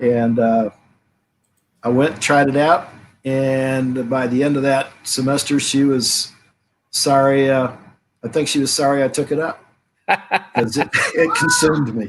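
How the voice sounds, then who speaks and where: Long, frequent pauses break up a man's fairly slow speech. His fairly high voice keeps a fairly even intonation. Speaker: rugby coach. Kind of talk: casual interview chat.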